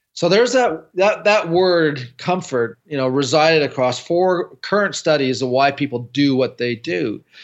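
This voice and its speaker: A man's unremarkable speaking voice with a Canadian accent, fairly high-pitched, lively in intonation, at a moderate pace with hardly any pauses. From Canada. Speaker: building science consultant. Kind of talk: interview.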